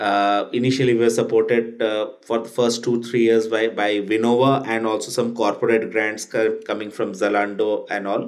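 Delivered at a moderate pace in a monotone, flat intonation, the speech carries audible room echo. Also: man, medium pitch for a man. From India. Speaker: tech startup CEO. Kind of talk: interview.

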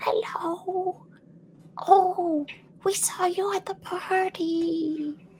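A put-on character voice at an extremely high pitch, very slow in pace, with long, frequent pauses. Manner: friendly and polite.

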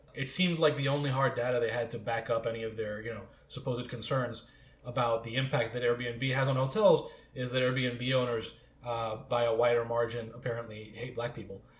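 A man speaks with monotone, flat intonation. Audible room echo surrounds his voice. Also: medium pitch for a man. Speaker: magazine editor. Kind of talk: casual panel discussion.

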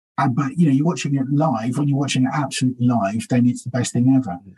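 The man's tone is dark and mellow. His voice is somewhat breathy. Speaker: stand-up comedian. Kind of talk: casual interview chat.

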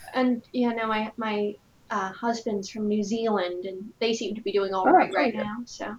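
The speaker has an American accent and fairly even intonation at a moderate pace. Noticeable background noise is present. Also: woman, fairly high pitch for a woman. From Rhode Island, US. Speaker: podcast host. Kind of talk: casual podcast interview.

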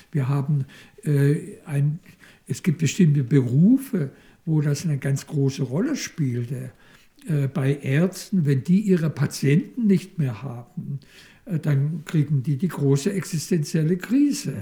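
At a very slow pace, a man with a fairly high pitch and a dark, mellow, somewhat breathy tone talks with ordinary pitch variation. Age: 70s. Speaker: psychoanalyst. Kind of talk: interview. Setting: institute office. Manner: halting.

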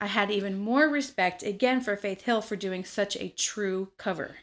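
A woman with an ordinary speaking voice, ordinary pitch variation and hardly any pauses, on a very clean recording with a silent background. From US South, Memphis, Tennessee. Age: 30s. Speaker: bartender. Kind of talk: casual chat.

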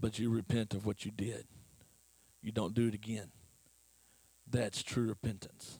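Speaking at a moderate pace with long, frequent pauses, a man uses a fairly low pitch, a dark, mellow tone, a somewhat breathy sound and fairly even intonation. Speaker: lay preacher. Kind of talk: sermon.

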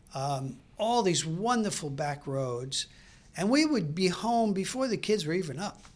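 Speaking in a Brooklyn accent at a fairly slow pace, a man uses a high voice with very wide pitch swings. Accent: New York (Brooklyn). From New York City (Brooklyn). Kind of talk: casual interview chat. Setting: studio.

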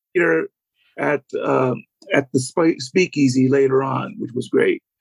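A man's plain, everyday voice, fairly high-pitched and fairly slow, in a dry, close sound with no echo. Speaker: author and fan. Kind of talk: casual interview.

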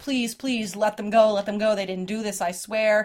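Shouting in a put-on character voice, female-sounding at a medium pitch for a woman, at a moderate pace. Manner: screaming, pleading.

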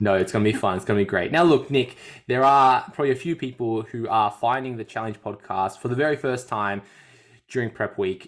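A man with an Australian accent speaks at a fairly quick pace with ordinary pitch variation. The recording is very clean, with a silent background. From Australia, Melbourne. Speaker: fitness coach and podcast host. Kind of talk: casual chat.

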